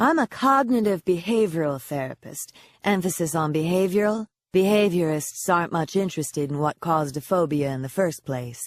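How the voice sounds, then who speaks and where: In a put-on character voice that is hoarse, with a middle pitch and a warm, confident tone, the speaker moves at a fairly quick pace on a very clean recording with a silent background. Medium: read story. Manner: warm, teasing, confident.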